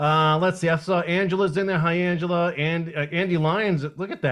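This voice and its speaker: Speaking at a fairly quick pace, a high-voiced man with a slight Boston accent keeps his intonation fairly even. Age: 40s. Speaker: livestream host. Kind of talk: casual chat.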